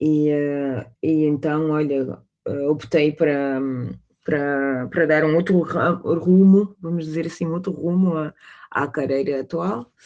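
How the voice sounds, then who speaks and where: A woman with a very deep, low pitch and a dark, mellow tone speaks at a fairly slow pace with fairly even intonation. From Portugal, Cape Verdean parents. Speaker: sports manager. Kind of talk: interview. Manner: halting, many hesitations.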